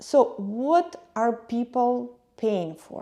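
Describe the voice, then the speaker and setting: A woman with a non-native accent speaks at a fairly high pitch, her tone dark and mellow and her intonation lively. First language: not English. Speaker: YouTube travel and lifestyle vlogger. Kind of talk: personal vlog monologue.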